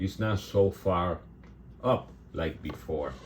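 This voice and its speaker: Very slowly and somewhat breathily, a man speaks with ordinary pitch variation. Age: 60s. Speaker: resin artist, channel owner. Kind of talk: casual video talk to viewers. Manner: halting.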